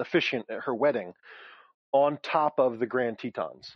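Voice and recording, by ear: Ordinary pitch variation from a man, with a dry, close sound and no echo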